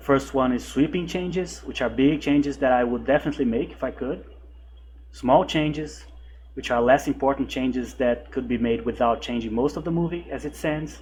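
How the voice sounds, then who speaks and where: Speaking at a fairly quick pace, a man talks with a non-native accent. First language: not English. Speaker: horror movie reviewer. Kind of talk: video essay commentary. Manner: some hesitations and repeated words.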